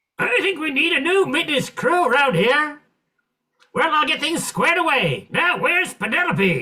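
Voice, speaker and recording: Put-on character voice, high-pitched, moderate in pace. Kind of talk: 1940s radio comedy acting. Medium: stage play.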